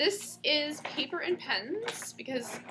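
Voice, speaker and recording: A loud woman's voice with lively intonation, with audible room echo and noticeable background noise. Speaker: spiritual counselor teaching a class. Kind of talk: class lecture to small group. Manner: casual, many fillers.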